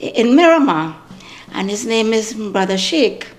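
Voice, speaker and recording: A woman's fairly high voice with audible room echo. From Trinidad. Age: 70s. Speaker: community elder. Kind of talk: interview. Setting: at home.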